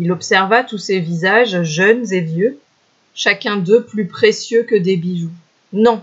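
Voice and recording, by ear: The background stays quiet while text is read aloud in a natural voice with ordinary pitch variation.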